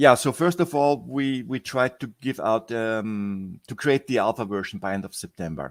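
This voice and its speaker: Recorded very cleanly against a silent background with a dry, close sound and no echo, a man of medium pitch talks at a moderate pace with lively intonation and hardly any pauses. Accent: non-native. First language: not English. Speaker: software project founder. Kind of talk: interview. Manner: halting.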